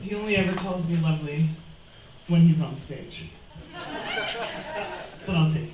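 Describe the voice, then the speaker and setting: The speech moves at a moderate pace with long, frequent pauses. Background noise is noticeable. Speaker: poetry slam host. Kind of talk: live event hosting. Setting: live pub venue.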